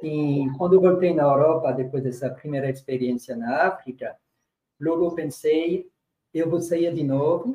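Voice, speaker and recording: Somewhat breathy and dark, mellow in tone, a man talks at a fairly slow pace with fairly even intonation. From France, rural. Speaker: religious brother, community worker. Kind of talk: panel discussion testimony.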